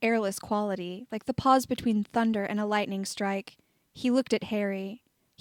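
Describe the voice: Fairly even intonation in plain reading aloud, the background quiet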